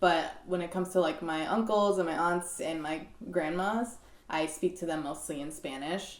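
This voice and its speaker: In an American accent, a woman with a fairly low pitch speaks with fairly even intonation amid audible room echo. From Maryland, US. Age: 20s. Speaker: actress. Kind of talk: interview.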